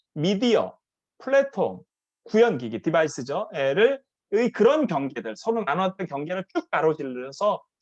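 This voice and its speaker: A high-pitched man at a fairly quick pace with very wide pitch swings, in a dry, close sound with no echo against a quiet background. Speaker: professor. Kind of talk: conference presentation. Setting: online live conference. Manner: fast.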